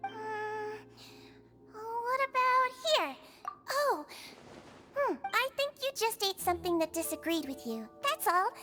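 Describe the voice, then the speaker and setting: A put-on character voice from a woman, extremely high-pitched and fairly slow, broken by long, frequent pauses, with clear music in the background. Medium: video game. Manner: gentle, soothing.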